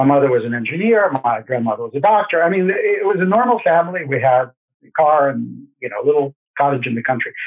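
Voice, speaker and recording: This man speaks very fast with a Russian accent, at a fairly high pitch. His intonation is lively and his loudness swings widely. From Russia, Saint Petersburg. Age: 60s. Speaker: gold investment expert. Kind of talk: interview.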